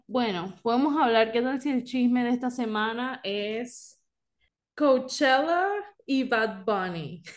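With ordinary pitch variation and a high pitch, a woman talks very slowly. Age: 20s. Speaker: podcast co-host. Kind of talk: casual chat. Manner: code-switching Spanish and English.

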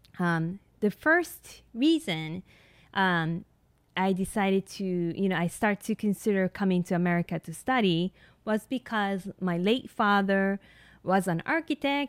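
Speech comes at a fairly slow pace with a Japanese accent and ordinary pitch variation. The sound is dry and close with no echo, on a very clean recording with a silent background. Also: woman. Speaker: nurse practitioner and podcast host. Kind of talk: solo podcast monologue. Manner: hesitant, many fillers.

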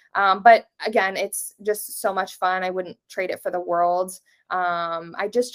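On a very clean recording with a silent background, speech comes in a plain, everyday voice at a moderate pace, its intonation fairly even. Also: woman. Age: 20s. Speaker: social media creator. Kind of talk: casual interview.

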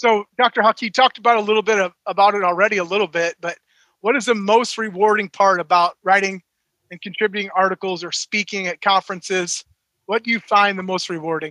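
A man talks at a fairly quick pace in a raised, projected voice with a bright, sharp tone and high pitch. The sound is dry and close, with no echo. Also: fairly even intonation. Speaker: podcast co-host, athletic director. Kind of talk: casual podcast chat.

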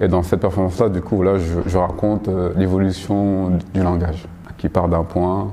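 A man's very deep, low, monotone voice with flat intonation, at a moderate pace over noticeable background noise. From Paris, France. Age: 30s. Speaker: choreographer and graphic designer. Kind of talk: interview. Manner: halting, many repetitions and fillers.

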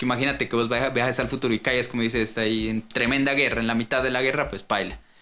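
A man rattles along at a very fast pace with hardly any pauses, his medium-pitched voice monotone and flat. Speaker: podcast co-host. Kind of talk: casual chat.

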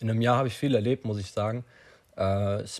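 A man speaks in a somewhat breathy voice on a very clean recording with a silent background. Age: young. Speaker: podcaster. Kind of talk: solo monologue. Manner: halting, many fillers.

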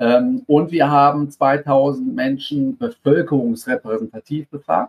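With a fairly high pitch and lively intonation, a man's voice sounds dry and close with no echo. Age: 40s. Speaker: sports marketing research executive. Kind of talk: interview. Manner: hesitant, many filler sounds.

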